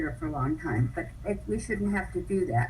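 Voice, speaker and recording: Audible room echo follows a woman speaking at a moderate pace with an American accent. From Los Angeles area. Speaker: public commenter at community meeting. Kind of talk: public comment.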